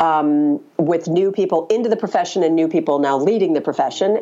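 Noticeable background noise sits behind a woman. She speaks at a moderate pace with a fairly low pitch. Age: 50s. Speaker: communications consultant and author. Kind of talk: interview.

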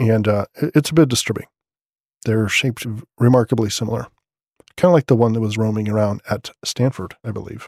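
Quiet and fairly quick, a man talks at a medium pitch with ordinary pitch variation, the sound dry and close with no echo. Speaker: podcast host. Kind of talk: news roundup podcast. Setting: at home late at night. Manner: quiet, subdued.

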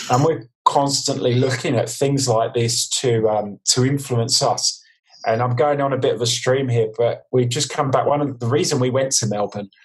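A man talks at medium pitch and a fairly quick pace, somewhat breathy. His intonation stays fairly even. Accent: London. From East London, England. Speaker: design consultant. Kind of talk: casual interview chat. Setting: video call.

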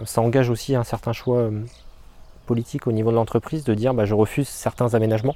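At a very fast pace broken by long, frequent pauses, a man speaks with medium pitch, monotone, flat intonation, very even loudness, and a dark, mellow tone. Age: 30s. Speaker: landscape gardener. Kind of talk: interview. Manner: hesitant, many fillers.

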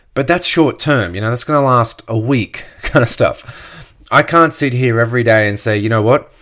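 This man has an Australian accent and a medium pitch, with ordinary pitch variation. He talks at a moderate pace with hardly any pauses. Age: 30s. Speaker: podcast host, network marketer. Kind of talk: casual solo podcast monologue.

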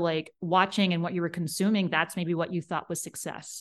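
Here is a plain, everyday voice at a fairly quick pace with fairly even intonation. The background is quiet. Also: woman. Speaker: leadership coach. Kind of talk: interview conversation. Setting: remote call.

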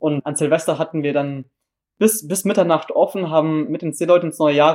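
A man talks at a fairly quick pace in a fairly high pitch. The recording is very clean, with a silent background. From southern Germany, Baden near Freiburg. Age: young. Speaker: volunteer at a seamen's club. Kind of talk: interview. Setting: on location at a seamen's club.

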